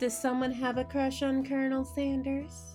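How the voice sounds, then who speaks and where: A woman talks at a fairly slow pace. Behind her, music plays in the background. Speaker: gaming video creator. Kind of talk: reading game dialogue aloud.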